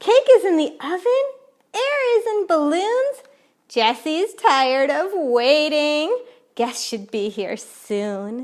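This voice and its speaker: A woman's squeaky, high voice moves at a very slow pace through very wide pitch swings. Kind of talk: bedtime story. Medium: read story. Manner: warm, cheerful.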